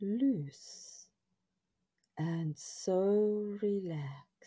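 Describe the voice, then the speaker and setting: The voice has a dark, mellow, soothing and calm tone, somewhat breathy, with ordinary pitch variation. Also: woman. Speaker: meditation guide. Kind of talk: guided hypnosis-style relaxation script. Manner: slow, soothing, hypnotic, repetitive; calm, gentle, drowsy cadence.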